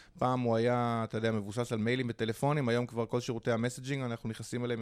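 A man's medium-pitched, normal speaking voice, with fairly even intonation, on a very clean recording with a silent background. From Israel (Holon). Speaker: hostel entrepreneur. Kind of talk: interview.

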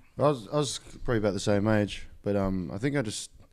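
With an Australian accent, a man speaks at a fairly quick pace on a very clean recording with a silent background. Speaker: rapper. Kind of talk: casual chat. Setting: studio.

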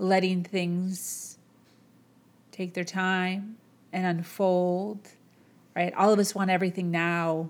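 Medium pitch from a female speaker, captured very cleanly against total background silence. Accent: Chicago. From US Midwest, Chicago. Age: 30s. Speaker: motivational podcast host. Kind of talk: motivational monologue. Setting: home, camera on boxes.

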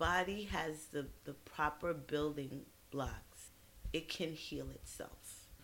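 Very slowly, a woman with an American accent talks in a very deep, low voice with vocal fry and ordinary pitch variation. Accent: New York with Caribbean touches. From Brooklyn, New York, of Trinidadian parents. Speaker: physician. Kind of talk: casual interview. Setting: studio.

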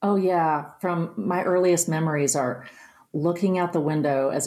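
A normal speaking voice from a woman with an American accent, fairly low in pitch, at a moderate pace with fairly even intonation. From West Virginia, Nicholas County. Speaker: singer-songwriter. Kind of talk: interview conversation.

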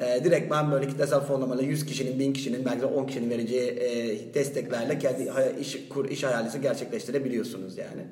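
Someone talks at a very fast pace with hardly any pauses and fairly even intonation, with audible room echo and noticeable background noise. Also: man, medium pitch for a man. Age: 30s. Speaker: EU grant project worker. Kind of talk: casual panel discussion.

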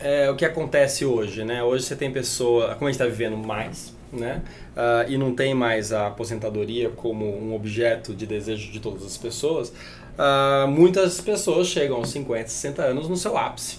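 Audible room echo around a man's voice, medium in pitch with ordinary variation. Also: moderate pace. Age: 40s. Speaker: longevity entrepreneur. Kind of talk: podcast interview.

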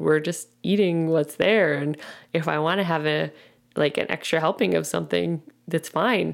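A woman's very deep, low voice with vocal fry, in a very clean recording with a silent background. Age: 30s. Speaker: fitness and nutrition coach, podcast host. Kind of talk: casual solo podcast monologue. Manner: halting, stumbling over words.

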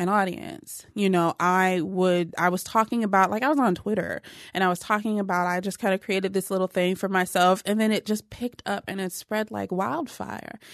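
A woman with an American accent and a medium pitch has a plain, everyday voice, speaking at a fairly quick pace with hardly any pauses and fairly even intonation. The sound is dry and close with no echo, over a quiet background. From Ohio, Cleveland area. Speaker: personal trainer and blogger. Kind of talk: interview.

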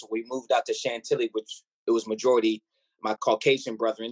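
Heard in a dry, close sound with no echo, a man talks at a very fast pace. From Ghana. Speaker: military officer and recording artist. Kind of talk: interview. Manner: precise, articulate diction; animated, preacherly.

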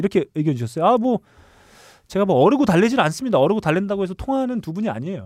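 A man with a high voice talks very fast, his pitch swinging widely, recorded dry and close with no echo in a very clean, silent setting. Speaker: podcast host. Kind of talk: casual chat. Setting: studio.

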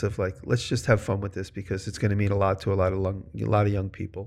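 A plain, everyday voice from a man with an American accent, fairly low in pitch, at a fairly quick pace, in a very clean recording with a silent background. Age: 50s. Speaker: maker and video creator. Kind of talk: casual chat.

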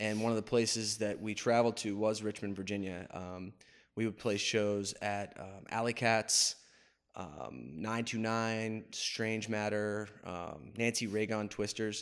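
A man with a plain, everyday voice and a fairly low pitch speaks with an American accent on a very clean recording with a silent background. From northeastern Pennsylvania (Wilkes-Barre). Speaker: barbershop owner. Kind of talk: casual interview. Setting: barbershop.

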